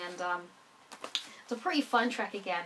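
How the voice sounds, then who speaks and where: A woman is speaking. Her pace is fairly quick. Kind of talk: album review, casual talk to camera.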